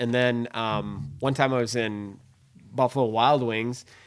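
A man with a Minnesotan accent speaks at medium pitch with fairly even intonation. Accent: Minnesota. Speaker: hunting podcast host. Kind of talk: casual interview chat. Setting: studio.

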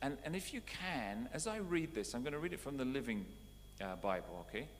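A man speaks at a moderate pace. His tone is warm. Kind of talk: sermon. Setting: church. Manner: conversational, warm teaching tone with repeated phrases and light humor.

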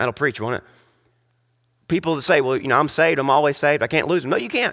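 On a very clean recording with total background silence, a raised, projected voice carries a bright, sharp tone. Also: man. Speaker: pastor. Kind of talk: sermon. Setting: church. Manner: frequent filler words.

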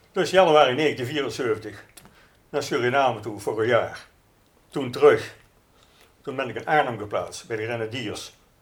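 With big swings in loudness and long, frequent pauses, a man speaks at a fairly slow pace in a somewhat breathy, medium-pitched voice with ordinary pitch variation and audible room echo. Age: 70s. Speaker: army veteran. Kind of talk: interview.

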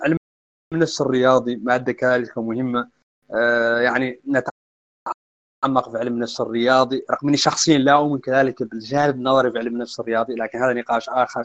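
In a dry, close sound with no echo, a man with medium pitch talks in an ordinary speaking voice at a moderate pace with fairly even intonation. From Mauritania. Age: young. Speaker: football coach and analyst. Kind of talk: casual interview chat. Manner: formal.

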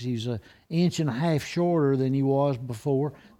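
This man has a fairly high pitch and a dark, mellow tone. He speaks with an Alabama accent. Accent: Alabama Southern. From Alabama (Blount County). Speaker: retired pastor. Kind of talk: casual chat.

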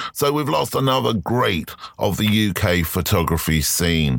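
A man's voice with vocal fry and lively intonation. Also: fairly bright tone.

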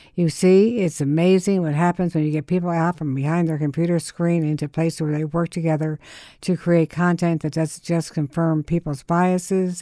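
Her pitch fairly low, a woman talks at a fairly quick pace with monotone, flat intonation. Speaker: radio host. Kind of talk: radio interview. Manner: halting.

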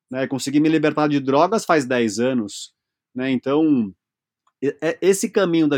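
The speech comes at a fairly slow pace, sounding dry and close with no echo against a quiet background. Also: man. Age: 40s. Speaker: speaker and workshop facilitator on masculinity. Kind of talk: interview conversation.

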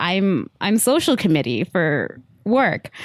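A woman's medium-pitched voice with an American accent, an ordinary speaking voice with lively intonation, on a very clean recording with a silent background. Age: 20s. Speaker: podcast co-host. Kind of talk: casual chat.

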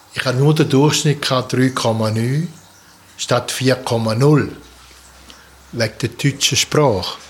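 A man with a strong Swiss German accent, medium-pitched and somewhat breathy, at a very slow pace with long, frequent pauses and fairly even intonation. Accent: broad Swiss German dialect. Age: 70s. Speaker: artist and sculptor, retired. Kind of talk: interview about life story.

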